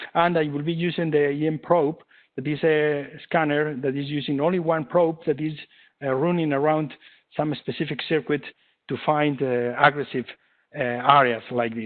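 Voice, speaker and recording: With a Spanish accent, a man speaks at a fairly high pitch and with fairly even intonation. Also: moderate pace. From Spain. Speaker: engineering lab head and presenter. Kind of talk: webinar lecture. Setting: online webinar. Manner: halting, many fillers.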